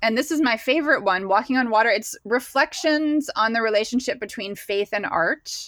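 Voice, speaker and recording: Here is a woman with a plain, everyday voice and a fairly high pitch. Her pitch variation is ordinary and her pace fairly quick. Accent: American. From Pennsylvania, US. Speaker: painter and creative guide. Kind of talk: casual interview chat.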